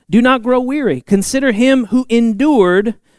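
A man speaks at a moderate pace. His tone is animated and warm. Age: 30s. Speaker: youth pastor preaching a church sermon. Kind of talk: Pentecostal church sermon, conversational and interactive with congregation. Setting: church sanctuary with live congregation. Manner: animated, warm and folksy, punctuated with amens and laughs; rising preacher cadence, storytelling with acted-out dialogue.

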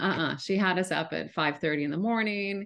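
Against a quiet background, a woman with an ordinary speaking voice talks at a moderate pace with fairly even intonation. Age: 50s. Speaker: travel media CEO and editor. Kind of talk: casual interview chat.

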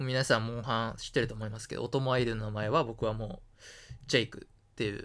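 Speaking at a very fast pace, a man with a medium pitch keeps fairly even intonation but shows big swings in loudness. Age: 20s. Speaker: student podcast co-host. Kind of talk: casual chat.

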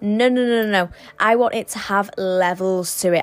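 A woman with a British accent talks at medium pitch while music plays in the background. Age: young. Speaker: spiritual podcast host. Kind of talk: solo podcast monologue. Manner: casual, stumbling.

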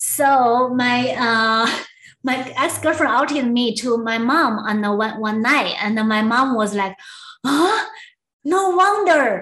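With a Chinese accent, a woman speaks very slowly in a high pitch. Her tone is bright and sharp, and her intonation is lively. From southwest China. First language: Mandarin Chinese. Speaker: former attorney and community organizer. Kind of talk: interview storytelling. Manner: halting, many fillers.

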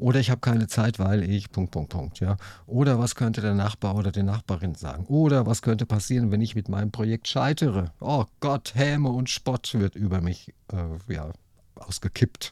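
On a very clean recording with a silent background, a man with a fairly low, dark, mellow voice speaks at a moderate pace with lively intonation. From Hesse, near Frankfurt. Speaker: podcast host. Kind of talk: interview.

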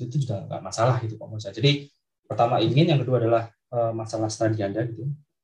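Speaking at a very fast pace, a man with a medium pitch sounds somewhat breathy, his intonation fairly even and his loudness swinging widely. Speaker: university lecturer. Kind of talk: interview. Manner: halting.

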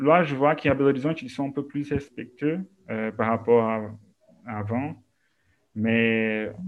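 A man speaks with fairly even intonation. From Brazil, Minas Gerais. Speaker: art historian and museum educator. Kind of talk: interview.

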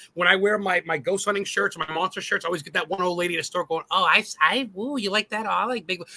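A bright, sharp, raised and projected voice, animated and very fast with hardly any pauses, ordinary pitch variation, and a dry, close sound with no echo. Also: man, high pitch for a man. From New England. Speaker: guest co-host, ghost hunter YouTuber. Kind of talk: casual chat.

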